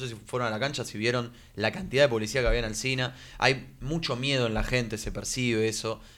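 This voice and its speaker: Fairly quick speech in a Rioplatense accent. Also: man. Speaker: sports radio co-host. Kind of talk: casual chat.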